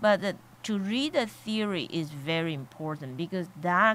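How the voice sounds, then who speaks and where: This woman speaks with a non-native accent and ordinary pitch variation. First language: Chinese. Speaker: college board of trustees member. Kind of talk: radio interview. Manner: halting, many fillers.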